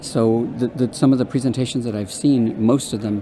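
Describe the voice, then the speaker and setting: Against noticeable background noise, a man of medium pitch speaks at a fairly quick pace with fairly even intonation. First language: Spanish. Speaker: undergraduate research coordinator. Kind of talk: interview. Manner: halting, many fillers and repeats.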